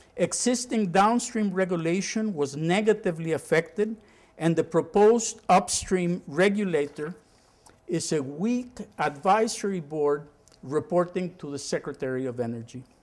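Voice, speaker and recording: A man talks at a moderate pace in a high pitch. His intonation is lively. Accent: Spanish. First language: Spanish. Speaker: former oil company executive, energy expert. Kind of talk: lecture. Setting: university lecture room with audience.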